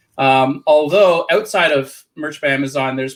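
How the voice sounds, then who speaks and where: A man with a Canadian accent uses a plain, everyday voice, pitched fairly high and paced moderately. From Canada. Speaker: print on demand seller and business coach. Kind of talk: interview.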